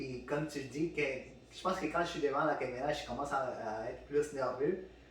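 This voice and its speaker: Noticeable background noise and audible room echo behind a man's fairly high voice. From Peru. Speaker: podcast host. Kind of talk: casual chat. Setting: studio with microphones. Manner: halting, many fillers and repeats.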